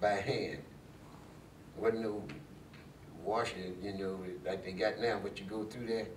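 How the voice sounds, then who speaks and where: A man speaks fairly slowly in a monotone, flat voice with long, frequent pauses. There is noticeable background noise. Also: fairly low pitch for a man. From Mansfield, Ohio. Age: old. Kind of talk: interview answer.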